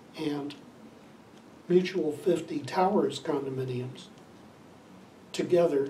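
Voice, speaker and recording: Speaking very slowly with long, frequent pauses, a man with an American accent keeps a fairly even intonation at a fairly high pitch. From Ohio, USA. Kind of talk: interview answer.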